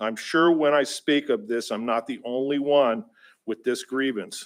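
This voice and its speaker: Moderately paced speech, the recording very clean and the background silent. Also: man. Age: 60s. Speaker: member of the public giving testimony. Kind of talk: public comment at a government meeting. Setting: public assembly meeting. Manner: halting, with frequent fillers and restarts.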